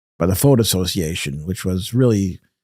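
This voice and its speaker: A man with a New York accent speaks in a dark, mellow tone. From Brooklyn, New York. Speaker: radio pioneer and journalist. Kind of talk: interview. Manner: halting.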